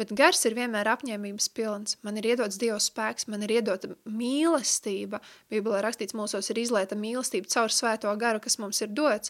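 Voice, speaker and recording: A woman talks in a plain, everyday voice with a fairly high pitch and fairly even intonation. The recording is very clean and dry, with a close sound, no echo and a silent background. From Latvia, Riga. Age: 30s. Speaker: Bible school teacher. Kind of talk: radio interview; lecture.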